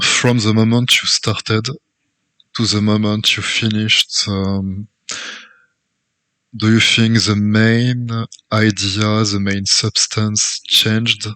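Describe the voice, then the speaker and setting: A man with a French accent speaks at a very slow pace, leaving long, frequent pauses. His fairly low voice has a bright, sharp tone and a monotone, flat intonation. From France. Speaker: interviewer. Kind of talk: interview.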